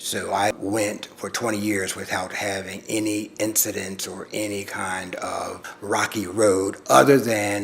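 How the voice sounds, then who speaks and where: Noticeable background noise behind a man with a fairly low pitch, a fairly slow pace, hardly any pauses and monotone, flat intonation. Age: 60s. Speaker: community elder living with HIV. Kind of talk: personal testimony.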